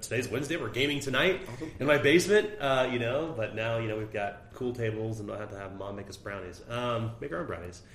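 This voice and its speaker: A man talks at a very fast pace with lively intonation and hardly any pauses, his pitch medium. The room echo is audible, and there is noticeable background noise. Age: 40s. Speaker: tabletop game designer. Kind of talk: interview.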